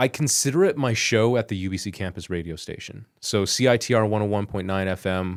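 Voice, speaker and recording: In a Canadian accent, a man with a normal speaking voice talks at a fairly quick pace with hardly any pauses, fairly low in pitch and with ordinary pitch variation. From Richmond, British Columbia, Canada. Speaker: broadcast journalist. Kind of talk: interview answer. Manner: casual, conversational.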